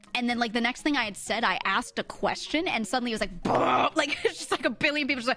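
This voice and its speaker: A woman with lively intonation and a fairly high pitch, speaking very fast. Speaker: vtuber streamer. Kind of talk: casual chat. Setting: live stream.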